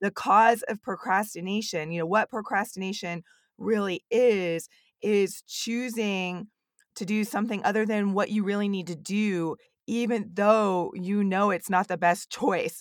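A woman's normal speaking voice at medium pitch, fairly even in intonation and fairly slow in pace, dry and close with no echo. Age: 30s. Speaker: podcast host and academic advisor. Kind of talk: interview. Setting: remote call.

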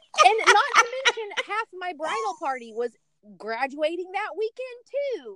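In a dry, close recording with no echo, a woman with an extremely high pitch uses a raised, projected voice at a fairly slow pace, with very wide pitch swings and big swings in loudness. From Tennessee (Chattanooga). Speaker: pilot's wife and mother of young children. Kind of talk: casual chat.

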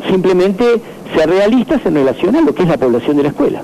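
The man's high pitch and lively intonation stand out against noticeable background noise. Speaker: school director. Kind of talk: phone interview.

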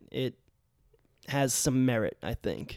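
In an ordinary speaking voice, a man talks at a fairly slow pace with medium pitch and fairly even intonation. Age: 30s. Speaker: teacher and podcast host. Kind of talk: casual chat.

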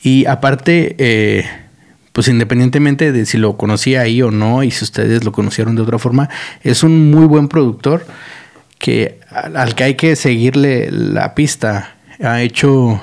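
At a fairly slow pace, a man talks in a plain, everyday voice of medium pitch with ordinary pitch variation. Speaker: podcast host. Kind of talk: casual monologue. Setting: studio.

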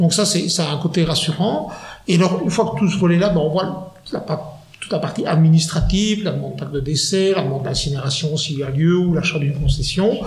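Amid noticeable background noise and audible room echo, a man with a high pitch talks fairly quickly with ordinary pitch variation. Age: 40s. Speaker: funeral advisor. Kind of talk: interview.

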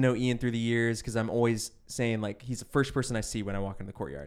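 Heard in a very clean recording with a silent background, a man with a medium pitch and ordinary pitch variation speaks in a plain, everyday voice. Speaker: guest telling stories. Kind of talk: casual storytelling chat. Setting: studio with headphones.

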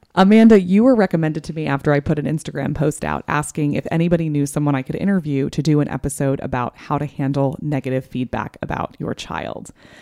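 A woman's very deep, low voice at a very fast pace with hardly any pauses and ordinary pitch variation, dry and close with no echo, over noticeable background noise. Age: 30s. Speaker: podcast host on motherhood. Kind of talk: casual interview.

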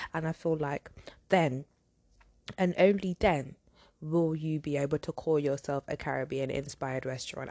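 The delivery is animated, with ordinary pitch variation. The sound is dry and close with no echo, over a quiet background. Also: woman. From London, England. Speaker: podcast host. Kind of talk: casual solo podcast commentary.

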